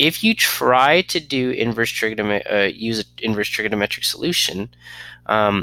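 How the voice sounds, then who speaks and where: A man talks at a moderate pace, with a dry, close sound and no echo. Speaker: math teacher. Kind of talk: lecture.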